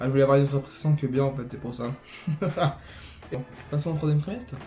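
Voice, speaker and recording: Over music in the background, a man talks at a very fast pace and fairly high pitch, his intonation fairly even and his loudness swinging widely. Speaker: youtuber. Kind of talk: casual vlog. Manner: sometimes poorly articulated.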